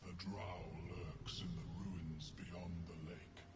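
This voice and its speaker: Over loud background noise, a man uses a put-on character voice, very deep and low, at a very slow pace. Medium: video game. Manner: slow, solemn, otherworldly.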